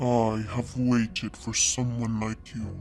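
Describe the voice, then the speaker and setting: In a put-on character voice, a soft-spoken man speaks fairly slowly at a medium pitch in a flat monotone over clear background noise. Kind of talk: horror narration. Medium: read story. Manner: soft, murmuring, slow.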